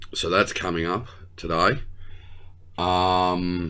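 A man speaks very slowly at a very deep, low pitch with fairly even intonation and a bright, sharp tone. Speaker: tech channel host. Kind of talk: casual vlog chat. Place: office. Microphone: webcam.

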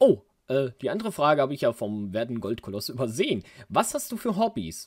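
Speech at a moderate pace comes on a very clean recording with a silent background. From Germany, Würzburg area (Lower Franconia). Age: 30s. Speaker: gaming YouTuber. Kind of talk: casual Q&A monologue. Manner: animated.

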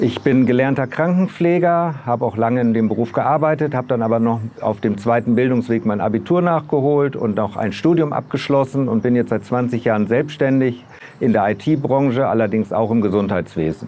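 Over light background noise, a man talks at a moderate pace and medium pitch, with ordinary pitch variation and very even loudness. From northern Germany, Bremen; Germany. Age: 60s. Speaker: local election candidate; election candidate. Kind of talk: campaign video statement; campaign self-introduction. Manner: hesitant with filler words. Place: street. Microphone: lapel.

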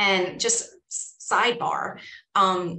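A woman with a New York accent speaks amid audible room echo. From New York, Staten Island. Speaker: school psychologist; guest. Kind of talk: guest talk. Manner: casual. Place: office. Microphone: video call.

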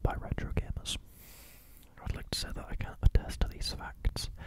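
A soft-spoken man talks at a fairly quick pace, his voice dry with no echo against loud background noise. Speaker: content creator. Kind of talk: reading facts with casual commentary. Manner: soft, close-mic ASMR speech. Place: home room. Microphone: studio mic.

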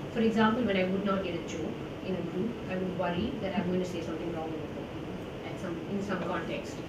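A woman with an Indian accent talks at a fairly quick pace. Audible room echo and loud background noise surround her voice. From South India. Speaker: journalist and author. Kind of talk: public interview about a book. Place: hall.

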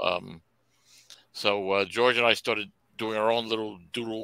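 A man's bright, sharp, monotone voice with flat intonation, dry with no echo, over a quiet background. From New York. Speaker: comic book creator. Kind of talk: casual chat. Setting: video call. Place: home room.

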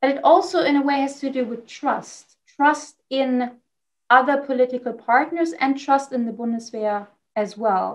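A woman's high voice with a German accent, ordinary pitch variation, a moderate pace and a quiet background. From Germany. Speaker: defense policy expert. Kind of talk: interview. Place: home room. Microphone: video call.

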